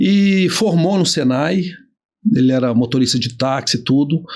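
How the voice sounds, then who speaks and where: Lively intonation marks this man's speech. He talks at a fairly slow pace with long, frequent pauses. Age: 50s. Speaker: business owner and trainer. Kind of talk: casual interview chat.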